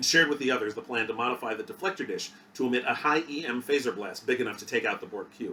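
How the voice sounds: The clip features a natural reading voice. It is used throughout.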